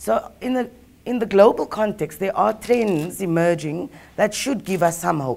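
The woman has an unremarkable speaking voice and keeps to a moderate pace. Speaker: speaker. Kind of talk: panel presentation. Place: hall.

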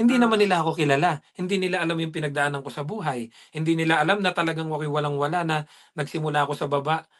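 Against a quiet background, a man talks very fast at a fairly high pitch with ordinary pitch variation. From Philippines. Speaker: dairy farm worker and vlogger; vlogger. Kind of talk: casual interview. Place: home room. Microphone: video call.

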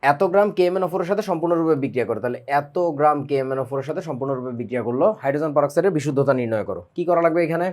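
A man with an unremarkable speaking voice has a fairly high pitch and ordinary pitch variation. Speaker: chemistry teacher. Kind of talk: lecture. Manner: casual, conversational.

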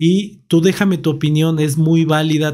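Over a quiet background, a man with a Mexican accent talks at a fairly high pitch. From Mexico. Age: 30s. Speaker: tech YouTuber. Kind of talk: product review. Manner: casual. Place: home room. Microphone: studio mic.

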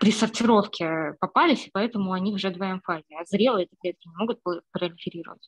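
Fairly quick speech comes from a woman at medium pitch, somewhat breathy, with ordinary pitch variation. The background is quiet. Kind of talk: online seminar discussion. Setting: video call. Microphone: video call.

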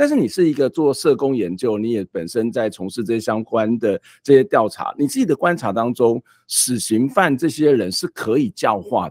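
A man speaks at a moderate pace with lively intonation and big swings in loudness, the sound dry and free of echo against a quiet background. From Taiwan. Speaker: talk show host. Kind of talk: interview. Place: home room. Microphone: studio mic.

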